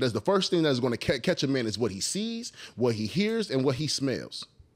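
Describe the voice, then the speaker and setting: Pitch swings very widely at a fairly quick pace. There are hardly any pauses, and the background is quiet. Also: man. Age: 30s. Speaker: podcast co-host. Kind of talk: casual chat. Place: home room. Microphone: studio mic.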